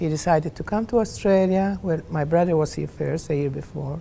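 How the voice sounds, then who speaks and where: A woman with a Maltese accent speaks at a very deep, low pitch with ordinary pitch variation. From Malta. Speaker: Maltese immigrant. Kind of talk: personal testimony interview. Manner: halting.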